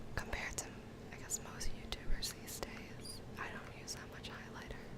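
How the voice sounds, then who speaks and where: A woman whispers at a moderate pace, with big swings in loudness. Noticeable background noise sits behind her. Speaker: ASMR / beauty YouTuber. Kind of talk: ASMR whispered makeup tutorial. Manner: whispered, soft-spoken, relaxing.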